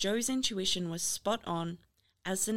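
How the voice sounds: A natural reading voice is heard over a quiet background. Its pitch varies in an ordinary way.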